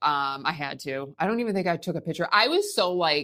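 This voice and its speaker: Her tone is bright and sharp, with fairly low pitch for a woman. She speaks at a moderate pace with ordinary pitch variation. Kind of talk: podcast interview answer.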